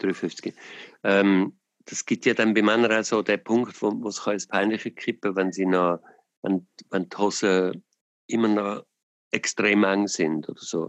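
The sound is dry and close with no echo as a man with a fairly low voice speaks. He goes at a fairly slow pace with fairly even intonation and long, frequent pauses. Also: quiet background. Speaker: podcast host. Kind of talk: casual chat. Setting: phone call.

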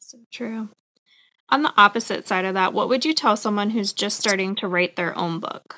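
With a bright, sharp tone, a woman of medium pitch talks at a moderate pace with ordinary pitch variation. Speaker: podcast host. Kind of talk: interview.

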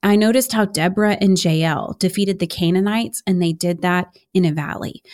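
A woman with an American accent speaks at a fairly quick pace. Her pitch is medium with ordinary variation, on a very clean recording with a silent background. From Houston, Texas. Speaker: Bible teacher and author. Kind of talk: casual chat. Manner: animated.

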